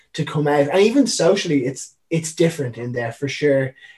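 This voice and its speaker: Fast talk comes from a man with a Dublin accent, at a very fast pace. His pitch is fairly high. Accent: Irish (Dublin). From Ireland (Dublin). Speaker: professional wakeboarder. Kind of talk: casual chat.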